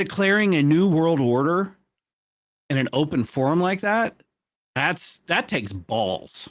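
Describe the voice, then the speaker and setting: A man with a fairly high voice talks fairly slowly, leaving long, frequent pauses. His pitch swings very widely while his loudness stays very even. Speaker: podcast co-host. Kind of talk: casual chat. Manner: halting.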